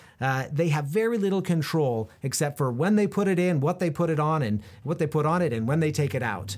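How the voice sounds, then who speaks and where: A man talks at a fairly quick pace in a fairly high pitch, his pitch swinging very widely. The recording is very clean, with a silent background. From Central Oregon, US. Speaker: podcast host interviewing business owners. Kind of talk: solo podcast monologue. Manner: frequent fillers and word repetitions.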